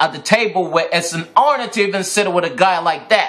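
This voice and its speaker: A man speaks at a high pitch in an animated tone with lively intonation. Noticeable background noise is present. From Ghana. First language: Twi. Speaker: vlogger, fashion designer. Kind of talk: angry rant video.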